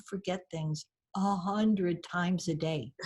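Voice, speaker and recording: A woman speaks with an American accent in a fairly low, somewhat breathy voice. Her pitch variation is ordinary. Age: 60s. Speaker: storyteller and author. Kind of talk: podcast interview.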